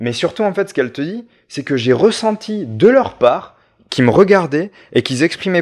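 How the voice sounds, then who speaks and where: In a very clean recording with a silent background, a man with a high pitch talks at a moderate pace, making very wide pitch swings. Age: 30s. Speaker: visual artist and art teacher. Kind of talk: casual chat. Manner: halting, many repetitions.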